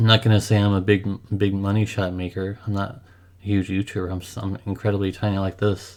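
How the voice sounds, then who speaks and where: Very fast and monotone, a man speaks with flat intonation at a fairly low pitch. The recording is very clean, with a silent background. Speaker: gaming youtuber. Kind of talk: unscripted personal vlog monologue. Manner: halting, repeats words.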